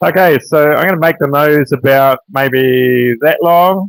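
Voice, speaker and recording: In a New Zealand accent, a man speaks fairly slowly at a fairly high pitch. His intonation is fairly even, and the sound is dry and close with no echo. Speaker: woodcarver. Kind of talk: live tutorial. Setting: livestream.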